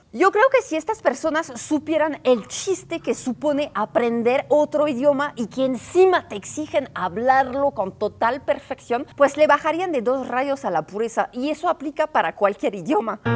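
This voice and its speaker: Rarely pausing, a woman with a high pitch speaks at a moderate pace with lively intonation. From northern France. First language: French (speaking Spanish). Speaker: travel and culture video creator. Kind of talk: informal explainer video. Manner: casual, conversational.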